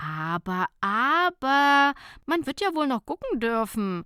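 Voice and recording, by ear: A woman does a put-on character voice, high-pitched, bright and sharp yet clear and smooth, with big pitch swings at a slow pace. The sound is dry and close with no echo, the recording very clean over a silent background.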